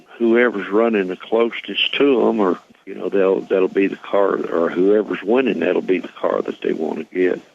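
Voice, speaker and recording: A man delivers his words at a moderate pace as noticeable background noise carries on behind him. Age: 70s. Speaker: retired race car builder and driver. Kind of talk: radio interview.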